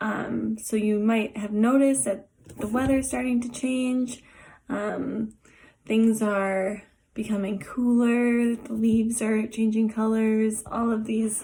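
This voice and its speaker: A woman's somewhat breathy voice, fairly high in pitch, at a very slow pace with monotone, flat intonation. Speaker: art therapist. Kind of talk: tutorial. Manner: hesitant with many fillers.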